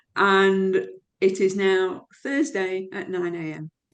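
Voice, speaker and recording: Ordinary pitch variation colors a woman's medium-pitched speech. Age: 60s. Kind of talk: interview answer.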